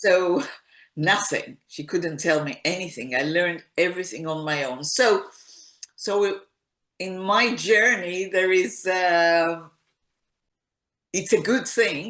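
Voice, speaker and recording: A woman speaks with lively intonation at a very slow pace. She leaves long, frequent pauses. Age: 60s. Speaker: singer-songwriter. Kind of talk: interview.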